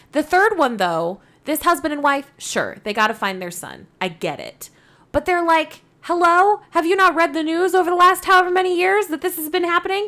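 A raised, projected voice with a bright, sharp tone and lively intonation comes at a moderate pace on a very clean recording with a silent background. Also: woman, extremely high pitch for a woman. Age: 20s. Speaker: podcast co-host. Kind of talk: casual chat.

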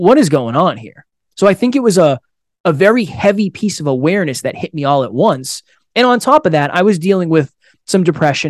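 On a very clean recording with a silent background and a dry, close sound with no echo, a man talks at a fairly quick pace with lively intonation in an unremarkable speaking voice. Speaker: podcast founder and guest. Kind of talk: interview conversation.

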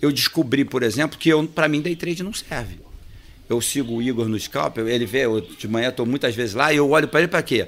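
An ordinary speaking voice at a fairly quick pace with lively intonation. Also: man. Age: 50s. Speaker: accountant and trading firm owner. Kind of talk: casual interview chat.

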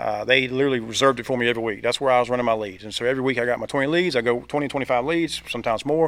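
A man talks at a very fast pace in a Southern US accent. His pitch is medium. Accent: Southern US (Georgia). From US South, Georgia (Thomasville). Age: 40s. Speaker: insurance agent and team leader. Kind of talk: casual interview. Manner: energetic.

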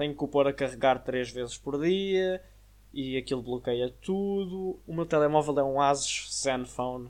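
A European Portuguese accent over a quiet background. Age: young. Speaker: podcast host. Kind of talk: casual monologue. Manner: filler-heavy casual.

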